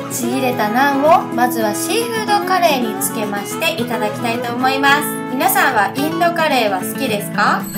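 A woman with a Fukuoka accent at a moderate pace, hardly any pauses, loud music in the background. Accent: Hakata dialect. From Hakata, Fukuoka. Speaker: food vlogger. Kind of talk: casual food review vlog. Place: cafe. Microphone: phone near.

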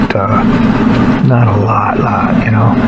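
A man at a fairly slow pace amid loud background noise. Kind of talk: casual tutorial. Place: home room.

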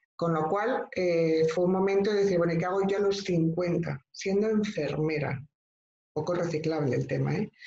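A woman speaks at a moderate pace and a fairly low pitch, her tone dark and mellow with ordinary pitch variation. Her loudness stays very even, and room echo is audible. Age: 50s. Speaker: professional coach, former nurse; professional coach. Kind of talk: online training talk. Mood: warm, explanatory. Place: home room. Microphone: video call.

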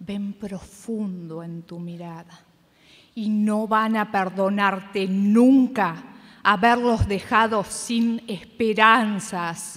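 Against a quiet background, a woman speaks at a very slow pace with fairly even intonation. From Argentina. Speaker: competition reciter. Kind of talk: poetry reading. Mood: dramatic, reproachful. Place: stage.

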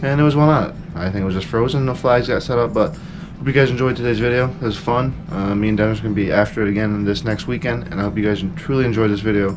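Noticeable background noise sits under a man talking at a very fast pace with ordinary pitch variation. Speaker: fishing vlogger. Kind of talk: casual vlog chat. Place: home room. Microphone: phone near.

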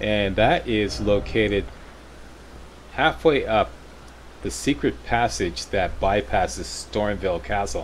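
A man talks at a fairly slow pace with a fairly low pitch and vocal fry. His pitch swings very widely, broken by long, frequent pauses. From Canada. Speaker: gaming YouTuber. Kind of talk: gameplay walkthrough commentary.

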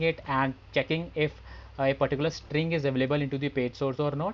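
A man keeps up a fairly quick pace, his intonation fairly even. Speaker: software testing instructor. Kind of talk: tutorial. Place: home room. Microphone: headset.

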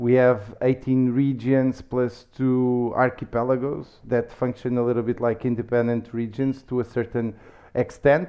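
A man with a Lisbon accent and monotone, flat intonation against a quiet background. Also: medium pitch for a man, moderate pace. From Lisbon, Portugal; Portugal. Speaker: startup community manager; podcast guest. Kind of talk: casual interview. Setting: office. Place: office. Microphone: headset.

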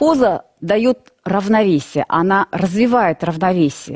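A woman's very slow speech against a quiet background. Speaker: yoga instructor. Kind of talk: calm instructional explanation. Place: studio. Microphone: headset.

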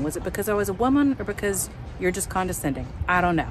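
A woman speaks at a very fast pace. The sound is dry with no echo, and noticeable background noise is present. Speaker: RV traveler vlogger. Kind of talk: casual vlog chat. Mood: frustrated but upbeat. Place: open country. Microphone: phone near.

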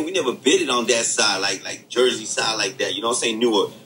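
Clearly audible noise runs behind a man who talks fairly quickly. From the Bronx, New York. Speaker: podcast co-host, former inmate. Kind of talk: casual chat. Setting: remote recording.

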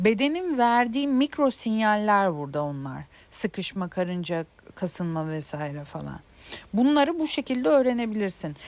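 A woman speaks at a medium pitch and moderate pace. Her pitch swings very widely. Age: 30s. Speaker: self-help video creator. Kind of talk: casual monologue on intuition. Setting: outdoors in a garden. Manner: hesitant, many filler sounds.

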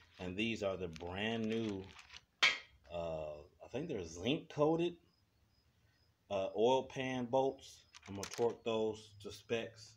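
The speech moves at a fairly slow pace with lively intonation and long, frequent pauses, against noticeable background noise. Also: man. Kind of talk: tutorial. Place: garage. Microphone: phone near.

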